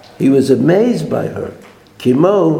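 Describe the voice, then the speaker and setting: A man with a Brooklyn accent talks in a fairly high pitch and with lively intonation. Audible room echo and noticeable background noise surround his voice. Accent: New York (Brooklyn). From US, Brooklyn. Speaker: Torah teacher. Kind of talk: lecture.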